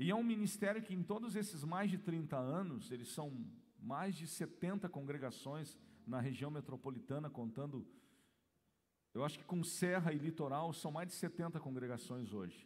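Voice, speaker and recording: With lively intonation and a fairly high pitch, a man talks at a moderate pace in a room with audible echo. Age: 40s. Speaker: pastor. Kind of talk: sermon. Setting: church.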